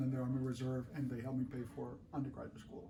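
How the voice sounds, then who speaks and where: There is audible room echo as a man speaks at medium pitch. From Colombia. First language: Spanish. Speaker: artist. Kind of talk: interview.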